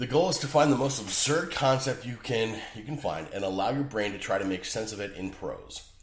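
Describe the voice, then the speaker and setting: Speaking at a fairly quick pace, a man uses a medium pitch. His pitch swings are very wide. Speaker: writer and podcaster. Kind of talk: podcast talk. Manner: casual, joking.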